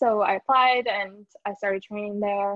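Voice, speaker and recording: A woman in an ordinary speaking voice, medium in pitch, with ordinary pitch variation. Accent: American. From Iowa, US Midwest. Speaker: neonatal physician assistant. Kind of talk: casual interview.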